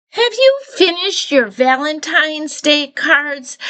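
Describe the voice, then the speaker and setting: This is a put-on character voice, squeaky in sound. It moves at a fairly slow pace. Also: woman, high pitch for a woman. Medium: read story.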